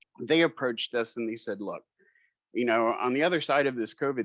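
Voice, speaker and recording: His voice is an unremarkable speaking voice, pitched in the middle range. The man talks rather briskly, his pitch rising and falling in a typical way. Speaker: marketing executive presenting a product. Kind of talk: webinar presentation.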